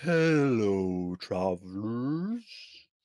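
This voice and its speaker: This man puts on a character voice at a medium pitch. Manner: slow, friendly greeting.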